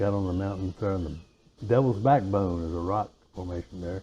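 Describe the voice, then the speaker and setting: In an Appalachian accent, a man speaks at a moderate pace with a dark, mellow tone, a fairly low pitch and fairly even intonation. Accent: Appalachian Virginia. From US, western Virginia (Alleghany County). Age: 70s. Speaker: interview guest. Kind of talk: casual interview. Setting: porch.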